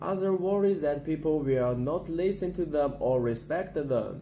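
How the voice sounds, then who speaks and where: Speaking at a fairly slow pace with a Chinese accent, a man with a fairly high pitch shows ordinary pitch variation. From China, Gansu Province. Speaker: university student. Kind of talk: class presentation. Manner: halting, with repetitions.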